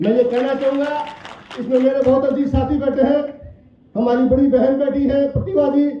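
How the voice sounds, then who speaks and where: Amid noticeable background noise and audible room echo, a man speaks at an extremely high pitch in a monotone, flat intonation with very even loudness. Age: 60s. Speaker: politician. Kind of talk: political speech.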